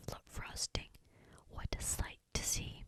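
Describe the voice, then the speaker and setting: The speaker whispers at a fairly slow pace. Noticeable background noise is present. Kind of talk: ASMR bedtime story reading. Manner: whispered, soft.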